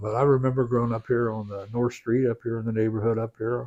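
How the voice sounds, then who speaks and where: Speaking at a very fast pace, a man talks with an Ohio accent. His pitch is fairly low. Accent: Ohio, Midwestern US. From Crooksville, Ohio. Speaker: county sheriff. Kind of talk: interview answer. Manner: casual, conversational.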